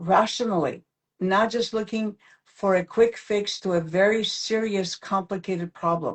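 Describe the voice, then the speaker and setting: A somewhat breathy woman at a fairly slow pace, her intonation fairly even. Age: 70s. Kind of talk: live-stream interview. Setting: live video stream.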